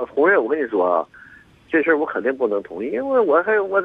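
Fairly high in pitch, a man speaks at a fairly quick pace. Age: 60s. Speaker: caller. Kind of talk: phone-in conversation. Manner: halting.

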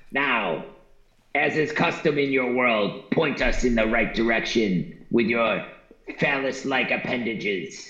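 Using a put-on character voice at medium pitch, a man speaks at a fairly slow pace with a slight echo. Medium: actual play. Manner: formal, stilted, literal.

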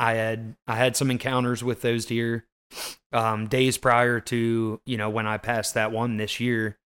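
In an ordinary speaking voice, a man talks at a fairly slow pace and a medium pitch. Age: 30s. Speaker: hunter and podcast host. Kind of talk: casual chat.

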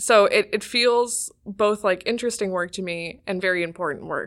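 A woman with an American accent speaks at a fairly quick pace and medium pitch in a plain, everyday voice. Her pitch varies in an ordinary way. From Ohio, US Midwest. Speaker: undergraduate researcher. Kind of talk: casual interview. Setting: studio around a table.

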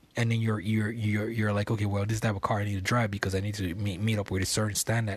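A man speaks at a fairly quick pace in a somewhat breathy voice, captured in a very clean recording with a silent background. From Nigeria, Lagos. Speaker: podcast host. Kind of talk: casual monologue. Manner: filler-heavy, laughing often.

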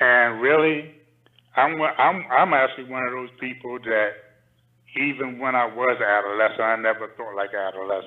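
A man with an American accent speaks in a plain, everyday voice at a moderate pace, his medium pitch showing ordinary variation. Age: 60s. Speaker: caller. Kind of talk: call-in discussion. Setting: call-in to live stream.

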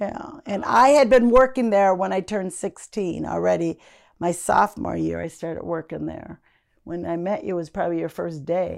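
A woman with an American accent talks at a moderate pace on a very clean recording with a silent background. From Minnesota, Minneapolis area. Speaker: host's mother. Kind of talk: interview.

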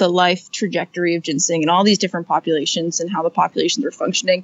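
This woman has a medium-pitched voice. She keeps her intonation fairly even. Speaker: botany PhD student. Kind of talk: interview.

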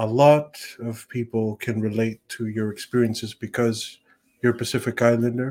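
On a very clean recording with a silent background, a man speaks at a medium pitch and a moderate pace. His tone is dark and mellow, his intonation flat and monotone. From Tonga. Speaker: student podcast host. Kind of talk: interview. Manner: halting.

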